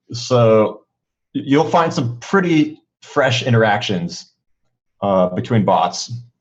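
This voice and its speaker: The speaker talks at a very slow pace with lively intonation and very even loudness. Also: man, medium pitch for a man. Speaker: esports commentator and bot developer. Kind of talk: live game commentary and Q&A. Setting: live stream. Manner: halting, many fillers.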